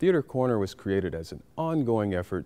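A man's fairly low voice at a fairly quick pace, with very wide pitch swings. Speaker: interview host. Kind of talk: show introduction. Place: hall.

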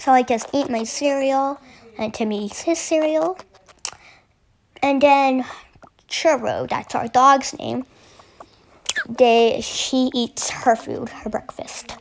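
A woman's high voice with ordinary pitch variation, a very slow pace and long, frequent pauses, over light background noise. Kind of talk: casual gameplay narration.

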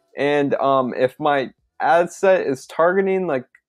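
A man speaks with faint music playing in the background. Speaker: online business tutor. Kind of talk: tutorial. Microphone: webcam.

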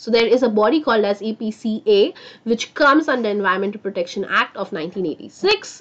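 A soft-spoken woman in an animated tone at a moderate pace. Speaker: online science teacher. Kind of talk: live online class. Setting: live stream. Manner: speaking softly.

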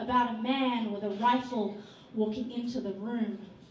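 A woman at a very slow pace with fairly even intonation, plus audible room echo and light background noise. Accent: Australian. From Australia. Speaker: spoken word poet. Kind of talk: performance poetry. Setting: stage at a hotel venue. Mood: grave, sorrowful, impassioned. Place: stage.

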